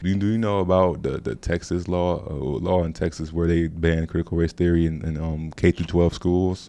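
This man has a very deep, low pitch. His tone is dark and mellow, with fairly even intonation. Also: moderate pace. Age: 20s. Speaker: university student researcher and documentary narrator. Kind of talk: casual interview chat.

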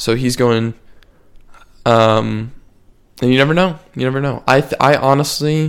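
Speaking at a fairly slow pace with long, frequent pauses, a man keeps a medium pitch and fairly even intonation. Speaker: podcast host. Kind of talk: casual chat.

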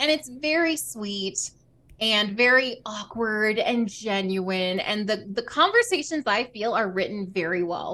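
Speaking with a Southern US accent, this voice has a bright, sharp tone and lively intonation. The pace is fairly slow. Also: woman, fairly high pitch for a woman. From US South. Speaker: podcast co-host and streamer. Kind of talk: casual chat.

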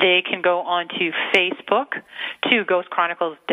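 A woman with an American accent, fairly low-pitched, at a fairly slow pace, over noticeable background noise. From Massachusetts. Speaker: radio co-host. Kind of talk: casual chat. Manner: excitable.

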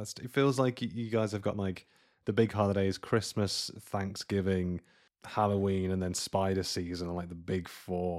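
Over a very clean recording with a silent background, a man with a British accent speaks at a moderate pace in a fairly low voice with fairly even intonation. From UK. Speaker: podcast host, guest. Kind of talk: casual chat.

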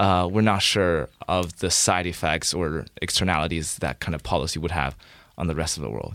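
On a very clean recording with a silent background, a man with a very deep, low pitch and vocal fry speaks at a moderate pace. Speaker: student podcast host. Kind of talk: interview; show introduction. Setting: studio.

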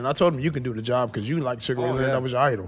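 Using ordinary pitch variation, a man speaks with an American accent. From United States. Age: 30s. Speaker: former professional boxer. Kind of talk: casual chat.

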